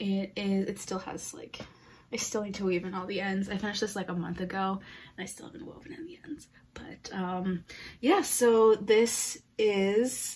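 Loudness swings widely as a woman speaks at a moderate pace. Her pitch variation is ordinary. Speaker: knitting podcast host. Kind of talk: casual vlog chat. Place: home room. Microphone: phone near.

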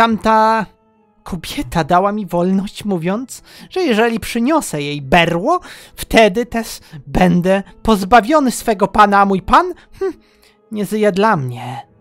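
Projecting loudly in a put-on character voice, a man with a high pitch speaks at a moderate pace over faint background music. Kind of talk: comic character voice. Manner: boastful, childish, gleeful.

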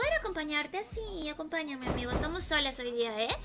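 A woman raises and projects her high-pitched voice. Loud background noise fills the recording. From Peru. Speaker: gaming streamer. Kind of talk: live gaming stream chat. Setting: at home alone. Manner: animated. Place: home room.

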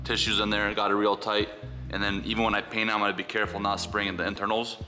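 Over clear music in the background, a man speaks at a fairly low pitch with ordinary pitch variation. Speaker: outdoor DIY vlogger. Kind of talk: tutorial. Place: garage. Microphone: camera far.

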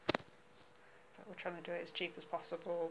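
At a moderate pace, a woman speaks at a fairly low pitch with monotone, flat intonation over faint background noise.

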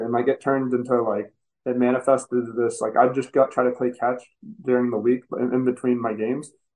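An ordinary speaking voice with an American accent moves at a fairly quick pace. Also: man. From Texas, Dallas area. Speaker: professional baseball player. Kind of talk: casual interview.

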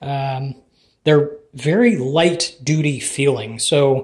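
A man's somewhat breathy voice with fairly even intonation at a very slow pace. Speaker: home lifter reviewing equipment. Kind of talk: product review commentary. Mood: casual, mildly critical. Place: gym. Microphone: phone near.

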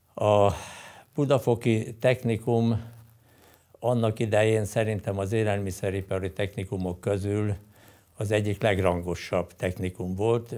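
A man speaks with a fairly low pitch and a dark, mellow tone. His intonation is fairly even and his pace fairly slow. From Hungary. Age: 80s+. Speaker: winemaker; former student or teacher of a wine school. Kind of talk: interview testimony. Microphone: lapel.

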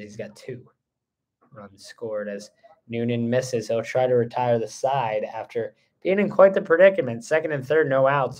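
A man talks at a moderate pace with lively intonation and an upbeat tone. The background is quiet. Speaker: play-by-play commentator. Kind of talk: live baseball play-by-play commentary. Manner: upbeat, friendly with the co-commentator. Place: booth. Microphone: phone near.

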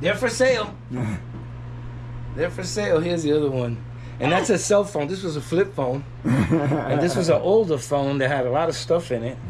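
Long, frequent pauses break up a man's speech, delivered at a moderate pace in a New York accent. Light background noise can be heard. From Puerto Rico. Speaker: artisanal mask maker. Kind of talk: casual talk during a studio tour. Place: workshop. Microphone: camera far.

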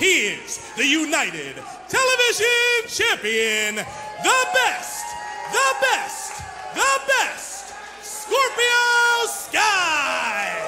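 Over clear music in the background, a man speaks at a very slow pace. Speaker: professional wrestling ring announcer. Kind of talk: wrestling ring announcement. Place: hall. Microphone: handheld.

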